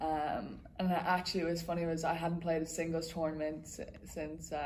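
A woman speaks in a Dublin accent with a fairly low pitch. Audible room echo surrounds her voice. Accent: Irish, Dublin. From Dublin, Ireland. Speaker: college tennis player. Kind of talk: interview. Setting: tennis tournament campus.

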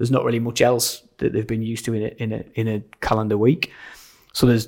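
A man speaks at a very fast pace with a medium pitch. His intonation stays fairly even. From Sunderland, north-east England. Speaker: church pastor. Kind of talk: casual interview chat. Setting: church side hall, in person.

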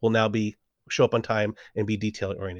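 A man talks at a fairly quick pace with a Californian accent. The sound is dry and close, with no echo. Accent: Californian American. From Southern California. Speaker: improv coach and PhD student. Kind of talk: casual interview chat.

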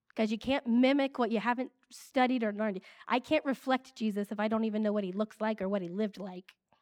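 A woman with an American accent talks at a very fast pace with hardly any pauses, a fairly high pitch and ordinary pitch variation. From Ohio, US Midwest. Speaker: ministry leader. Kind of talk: sermon.

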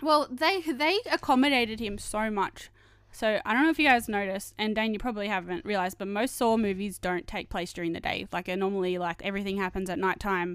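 With a normal speaking voice, a woman talks at a fairly quick pace and medium pitch with lively intonation and hardly any pauses, in a very clean recording with a silent background. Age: 20s. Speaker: podcast co-host. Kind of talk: casual chat.

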